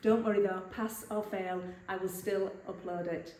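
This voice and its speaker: A woman talks at a moderate pace with an English accent. Noticeable background noise and audible room echo surround her. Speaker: vlogger. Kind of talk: vlog. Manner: whispering.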